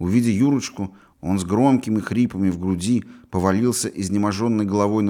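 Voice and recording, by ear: A natural voice, reading aloud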